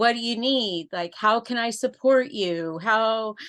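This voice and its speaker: A woman with a fairly high pitch and an unremarkable speaking voice talks at a fairly slow pace with ordinary pitch variation. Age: 60s. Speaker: caregiver for the aging and dying. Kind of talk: casual sharing in a group call. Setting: video call.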